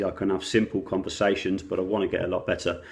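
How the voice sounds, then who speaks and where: A man's fairly low voice rushes along at a very fast pace in monotone, flat intonation. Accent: southern English. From England, Oxfordshire. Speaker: vlogger. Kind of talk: casual vlog monologue.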